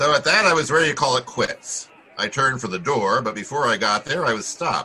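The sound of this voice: Putting on a character voice, a man speaks at medium pitch and a moderate pace with lively intonation, a bright, sharp tone and a slightly husky edge, while faint crowd noise sits in the background.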